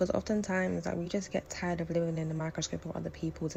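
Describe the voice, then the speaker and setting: The speaker has a London accent. The pace is very fast. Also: woman. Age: 20s. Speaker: lifestyle vlogger. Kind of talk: personal vlog narration.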